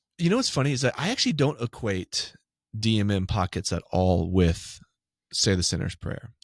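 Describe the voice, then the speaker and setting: A man with an American accent has a plain, everyday voice and a fairly low pitch. He talks at a moderate pace with lively intonation. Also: dry, close sound with no echo, very clean recording, silent background. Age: 40s. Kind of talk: casual chat.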